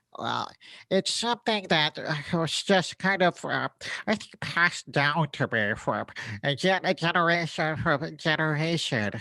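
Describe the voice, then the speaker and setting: This female-sounding voice does a cartoonish character at a middle pitch and a moderate pace. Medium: puppet. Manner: rambling, hesitant, repetitive.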